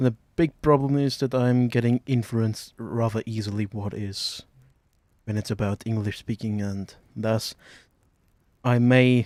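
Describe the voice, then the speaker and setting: Recorded with a dry, close sound and no echo, a man with a non-native accent speaks at a medium pitch with fairly even intonation. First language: not English. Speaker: gaming youtuber. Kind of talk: let's play commentary. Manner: halting, many fillers.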